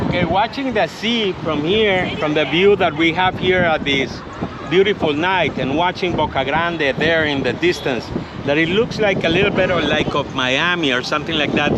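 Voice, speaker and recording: High-pitched man at a moderate pace with ordinary pitch variation, amid noticeable background noise. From Colombia. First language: Spanish. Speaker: tour guide. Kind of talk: travel vlog walking tour. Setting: outdoors. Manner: enthusiastic.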